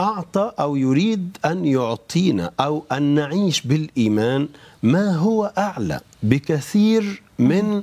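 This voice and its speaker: A man's fairly high voice at a very slow pace, with very wide pitch swings. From Egypt. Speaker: bishop. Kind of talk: religious talk show discussion. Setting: studio. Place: studio.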